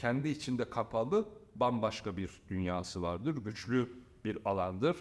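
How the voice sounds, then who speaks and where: His intonation is lively. The man keeps a moderate pace throughout. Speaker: football coach and pundit. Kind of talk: casual interview chat.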